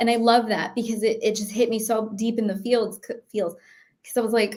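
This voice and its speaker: In a very clean recording with a silent background, a woman with an American accent speaks at a fairly high pitch. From New York City. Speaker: cybersecurity expert and former Marine. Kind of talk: interview conversation. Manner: speaking higher and more neutral than her normal voice.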